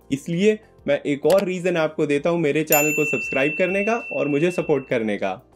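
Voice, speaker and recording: A man talks with ordinary pitch variation. Faint music plays in the background. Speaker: travel vlogger. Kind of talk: travel guide explanation to camera. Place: home room.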